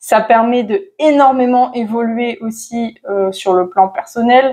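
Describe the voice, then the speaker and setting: A woman's voice with a fairly high pitch, a dark, mellow tone, ordinary pitch variation and a very slow pace. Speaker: manifestation coach. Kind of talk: casual to-camera advice talk. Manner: hesitant, many fillers.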